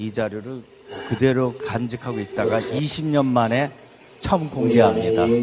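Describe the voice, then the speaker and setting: Amid noticeable background noise and audible room echo, a man speaks at a fairly slow pace, medium in pitch with ordinary pitch variation. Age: 60s. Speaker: pastor. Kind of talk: lecture. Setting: church.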